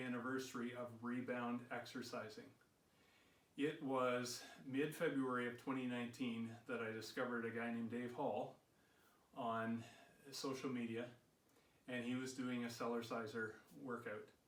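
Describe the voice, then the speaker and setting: Audible room echo surrounds a man speaking at a medium pitch with monotone, flat intonation. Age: 60s. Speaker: fitness vlogger. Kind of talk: personal vlog talk.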